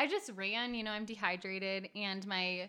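Ordinary pitch variation marks this unremarkable speaking voice. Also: woman. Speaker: co-host, canyon hiker. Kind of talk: casual podcast chat. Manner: playful, joking.

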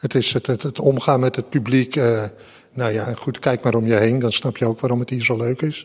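The voice is somewhat breathy, with monotone, flat intonation. The pace is moderate. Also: man, medium pitch for a man. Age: 60s. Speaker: museum security guard. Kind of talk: interview.

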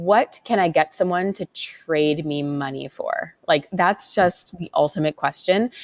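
A woman with a Canadian accent and an unremarkable speaking voice, fairly low in pitch with ordinary variation, at a fairly slow pace, dry and close with no echo. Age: 30s. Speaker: education entrepreneur, company founder. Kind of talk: interview.

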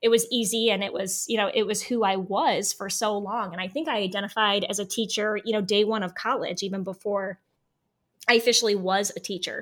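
A woman with an American accent speaks at a fairly quick pace, with medium pitch and fairly even intonation, in an unremarkable speaking voice. The recording is very clean, with a silent background. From US Midwest, Northeast Ohio. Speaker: former teacher. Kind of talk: interview.

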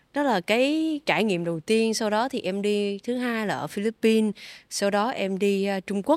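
A plain, everyday voice from a woman at medium pitch, moderate pace and ordinary pitch variation, dry and close with no echo, on a very clean recording with a silent background. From Vietnam. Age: 20s. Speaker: triathlete and sports company community manager. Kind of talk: interview.

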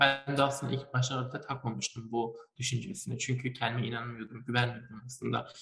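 A man's voice rests at a medium pitch. Background music accompanies him. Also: fairly even intonation, fairly quick pace. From Turkey, Malatya. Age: young. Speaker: chemical engineering student and young inventor. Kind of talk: interview. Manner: hesitant, many fillers.

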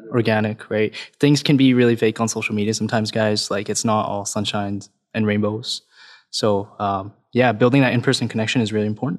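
A man with a Canadian accent, fairly low in pitch, flat and monotone at a fairly quick pace, on a very clean recording with a silent background. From Canada (Alberta), Punjabi heritage. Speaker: realtor, podcast co-host. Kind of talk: interview.

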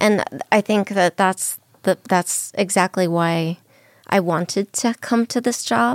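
On a very clean recording with a silent background and a dry, close sound with no echo, a woman speaks with an American accent at a fairly slow pace. She has an ordinary speaking voice, a medium pitch and ordinary pitch variation. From Southern California. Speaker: literary institute executive director. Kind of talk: radio interview.

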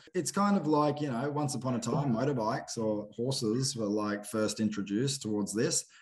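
With an Australian accent, a man speaks at a medium pitch and a fairly quick pace. His intonation is lively, and he hardly pauses at all. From Queensland, Australia (Cloncurry). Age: 30s. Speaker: bronc rider and filmmaker. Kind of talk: casual chat. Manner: animated.

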